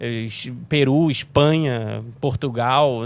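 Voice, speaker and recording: The speaker is a man with a medium pitch. He moves at a very slow pace, with ordinary pitch variation. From Rio de Janeiro, Brazil. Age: 30s. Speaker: sim racing commentator. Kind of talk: casual interview. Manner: halting.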